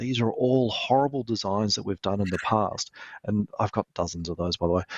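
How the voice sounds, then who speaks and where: This man with an Australian accent has a fairly low pitch and ordinary pitch variation. He talks at a fairly quick pace. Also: quiet background. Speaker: lighting product manager. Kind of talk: interview.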